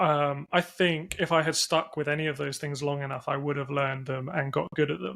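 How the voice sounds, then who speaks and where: This man speaks with an English accent in a bright, sharp tone, his fairly high pitch held in a flat, monotone delivery. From England. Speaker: entrepreneur, company CEO. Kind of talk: podcast interview.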